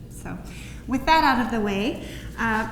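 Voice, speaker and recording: Female speaker with a rather high pitch, set against clearly audible noise and some audible room echo. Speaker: parent of a patient, speaker. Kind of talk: presentation talk. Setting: conference room with audience. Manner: soft-spoken.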